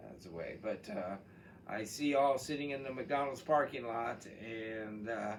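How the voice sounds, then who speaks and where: A man with an American accent talks at a fairly slow pace, with audible room echo. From Texas. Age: 70s. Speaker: college chemistry instructor. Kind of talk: course introduction video. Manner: casual, with frequent fillers.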